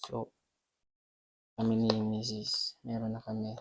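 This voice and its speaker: Soft-spoken and monotone, a man talks with flat intonation at a fairly low pitch. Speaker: vlogger. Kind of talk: casual vlog, unboxing. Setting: at home at night. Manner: soft-spoken, quiet.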